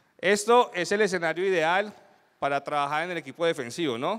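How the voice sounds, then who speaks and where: A man with a high pitch talks at a fairly quick pace. His pitch varies in an ordinary way over a quiet background. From Colombia. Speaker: security consultant, conference speaker; conference speaker. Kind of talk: conference talk. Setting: stage with audience. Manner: animated. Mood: light, humorous. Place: hall.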